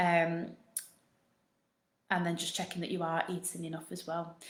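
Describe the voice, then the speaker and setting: Speaking at a moderate pace, a woman with a northern English accent uses a fairly low pitch and flat, monotone intonation. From northern England. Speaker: postnatal fitness coach. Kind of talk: live Q&A. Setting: live stream.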